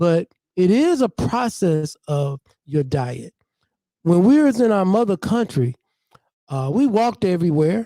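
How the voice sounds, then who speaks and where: With a high pitch, a dark, mellow tone and very wide pitch swings, a man talks at a fairly slow pace with long, frequent pauses in a dry, close sound with no echo. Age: 60s. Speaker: community speaker. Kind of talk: open mic talk.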